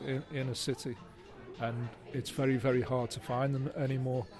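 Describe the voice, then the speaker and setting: Music plays behind a man speaking with a Liverpool accent at a fairly quick pace. His pitch is medium and his intonation monotone and flat. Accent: Liverpool (Scouse). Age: 60s. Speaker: writer. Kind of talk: interview. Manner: halting.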